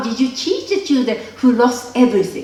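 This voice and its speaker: A woman speaks with a Japanese accent at a high pitch, swinging very widely. Audible room echo and noticeable background noise surround her. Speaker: filmmaker. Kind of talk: interview. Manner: halting.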